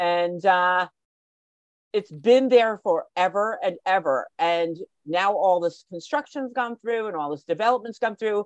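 In a New Jersey accent, a woman speaks at a medium pitch and fairly slow pace with lively intonation, the sound dry with no echo and the background quiet. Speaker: guest. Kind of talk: casual chat. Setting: video call. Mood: animated, nostalgic storytelling. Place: home room. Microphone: video call.

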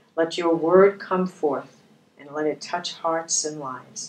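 A woman with a very deep, low voice speaks at a fairly slow pace with fairly even intonation. Light background noise and audible room echo surround her. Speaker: bible study co-host. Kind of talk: prayer. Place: studio.

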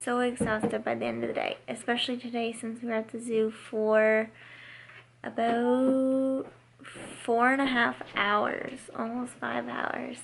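Over light background noise, a woman talks at a fairly slow pace in a fairly high pitch with monotone, flat intonation. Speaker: family travel vlogger. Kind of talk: casual vlog narration. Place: home room. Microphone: phone near.

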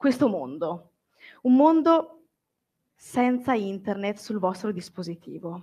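The speaker is a woman whose voice sits at a fairly high pitch. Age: 20s. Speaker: book content creator. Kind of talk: public talk. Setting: stage with audience.

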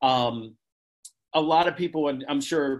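A man speaks with an American accent at a fairly slow pace. His intonation stays fairly even over a quiet background. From Pennsylvania. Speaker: poet. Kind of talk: casual introduction to a poem. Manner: hesitant, filler-heavy. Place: home room. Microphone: video call.

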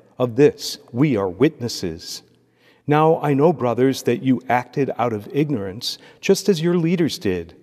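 At a fairly slow pace, a man speaks in a dark, mellow tone with very wide pitch swings over a quiet background. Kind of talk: liturgy and homily. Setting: church. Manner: formal. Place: church. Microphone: podium.

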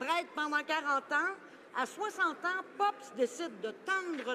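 A woman speaks in a raised, projected voice at a very slow pace. Her pitch swings very widely, with light background noise. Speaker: member of parliament. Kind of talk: parliamentary statement, tribute speech. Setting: House of Commons chamber. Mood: solemn, respectful. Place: hall.

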